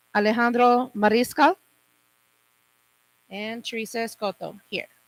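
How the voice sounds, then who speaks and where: Moderate pace in a dry, close sound with no echo. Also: woman, fairly high pitch for a woman, fairly even intonation. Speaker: meeting chair. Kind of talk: chairing a public meeting.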